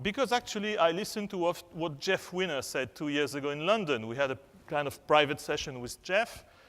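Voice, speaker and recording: A man speaks with a French accent. His pitch is fairly high, and his intonation is lively. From France. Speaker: HR and communications executive, conference speaker. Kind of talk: conference keynote. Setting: stage with audience. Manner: halting, many fillers.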